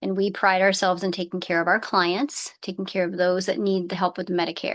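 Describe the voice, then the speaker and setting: A woman speaks in a normal speaking voice at medium pitch. She talks at a fairly quick pace with fairly even intonation. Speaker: Medicare insurance agent. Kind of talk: online seminar presentation.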